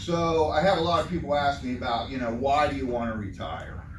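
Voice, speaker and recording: A fairly high-pitched man with lively intonation at a fairly quick pace, with noticeable background noise and audible room echo. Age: 60s. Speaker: retiring worker giving a talk. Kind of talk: informal talk to a group. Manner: casual.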